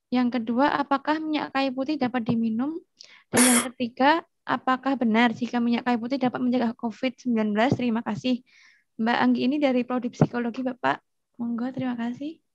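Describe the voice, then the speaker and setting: The background is quiet and the sound is dry with no echo. A woman talks at a fairly quick pace in a high voice with fairly even intonation. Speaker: student moderator. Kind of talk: webinar moderation. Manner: formal.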